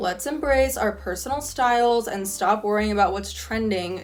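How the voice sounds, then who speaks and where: A fairly high woman's voice with an American accent, moderate pace and ordinary pitch variation, noticeable background noise behind it. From California. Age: 20s. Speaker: college student. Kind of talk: casual talk to camera.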